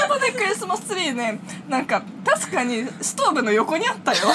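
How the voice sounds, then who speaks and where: A woman speaks in a raised, projected voice with very wide swings in pitch. Noticeable background noise runs behind her. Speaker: university student podcast co-host. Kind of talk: casual chat; scripted show outro.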